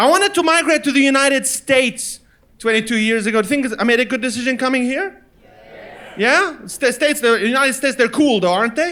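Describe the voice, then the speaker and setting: A man's extremely high, bright, sharp voice, raised and projected, at a very fast pace with ordinary pitch variation. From Lebanon. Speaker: stand-up comedian. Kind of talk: stand-up comedy performance. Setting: live comedy venue.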